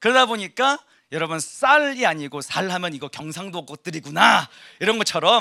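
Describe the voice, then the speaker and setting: A man speaks at a high pitch in a bright, sharp, animated tone. His pitch swings very widely, and the sound is dry and close with no echo. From South Korea, Gyeongsang (Ulsan). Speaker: pastor. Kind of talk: sermon. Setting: church service.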